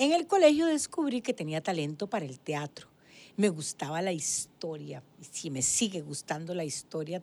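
Woman with a fairly low pitch, a dark, mellow tone and very wide pitch swings, at a fairly slow pace. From Costa Rica, Guadalupe. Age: 70s. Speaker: former ombudswoman, physician. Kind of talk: interview.

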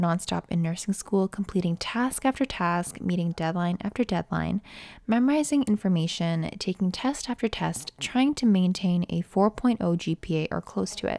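A woman with a Canadian accent talks at a moderate pace, at a medium pitch, with lively intonation and hardly any pauses, in a plain, everyday voice. The recording is very clean, with a silent background and a dry, close sound with no echo. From Canada. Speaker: nursing student podcaster. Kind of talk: casual monologue. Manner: conversational.

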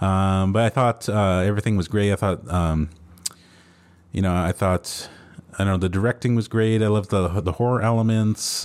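A man speaks in an ordinary speaking voice. He talks fairly quickly at a fairly low pitch. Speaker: podcast host. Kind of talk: casual chat.

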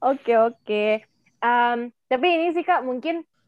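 A woman is speaking. Her pace is moderate. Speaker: student podcast host. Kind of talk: casual interview. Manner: animated.

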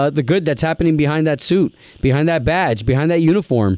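Animated in tone, a man with a fairly high pitch speaks in a dry, close sound with no echo. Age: 30s. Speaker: podcast host. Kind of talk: interview.

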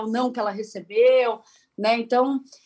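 A woman speaks in a high pitch. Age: 40s. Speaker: journalist and content creator. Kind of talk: radio interview.

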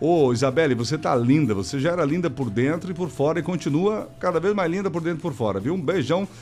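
Very fast speech from a man with a fairly high voice, lively intonation, and vocal fry. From Rio Grande do Sul, Brazil. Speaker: radio host. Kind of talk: live radio call-in show. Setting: studio. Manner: animated.

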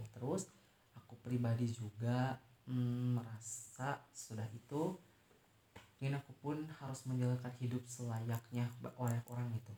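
This man has a dark, mellow, somewhat breathy tone at medium pitch. He talks at a fairly slow pace with fairly even intonation. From West Java, Indonesia (Tasikmalaya). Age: 20s. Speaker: university student. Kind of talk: interview.

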